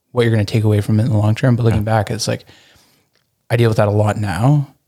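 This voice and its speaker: Mumbling very fast in a flat monotone, a man with a fairly low voice has a dark, mellow tone. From Burlington, Ontario, Canada. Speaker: entrepreneur and designer. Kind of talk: casual interview chat. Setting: speakeasy room attached to an Airbnb.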